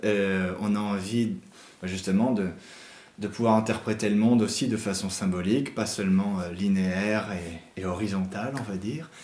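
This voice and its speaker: With an unremarkable speaking voice, a man talks at a moderate pace, his pitch fairly low and his intonation fairly even. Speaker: interviewer. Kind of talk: interview question.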